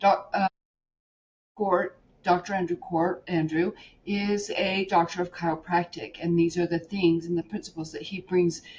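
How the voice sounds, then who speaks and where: A woman's fairly low, somewhat breathy voice, fairly slow and fairly even in intonation. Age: 50s. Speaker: podcast host. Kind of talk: interview. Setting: podcast interview.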